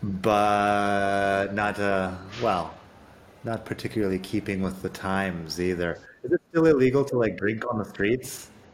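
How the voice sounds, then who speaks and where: A man with an American accent, fairly low pitch, ordinary pitch variation, and a fairly slow pace. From Arizona, US. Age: 40s. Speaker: podcast host. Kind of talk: casual interview chat.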